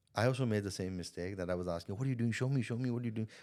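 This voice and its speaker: A man at a medium pitch and a very fast pace, with ordinary pitch variation, on a very clean recording with a silent background. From India. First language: not English. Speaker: sales coach and entrepreneur. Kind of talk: podcast interview. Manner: repetitive, halting starts.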